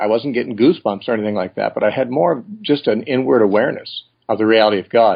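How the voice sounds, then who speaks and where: Talking at a fairly quick pace, a man with a medium pitch and an unremarkable speaking voice uses ordinary pitch variation. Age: 60s. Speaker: Bible teacher. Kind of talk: interview.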